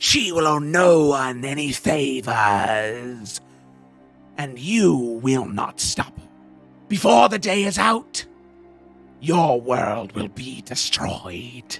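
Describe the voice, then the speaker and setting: In a put-on character voice, a man speaks very slowly at medium pitch, guttural and hissing, with long, frequent pauses and faint music in the background. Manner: hissing, threatening.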